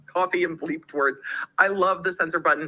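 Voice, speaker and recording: Shouting loudly, a woman speaks in a bright, sharp tone. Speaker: livestream host. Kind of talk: casual chat. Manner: loud, yelling.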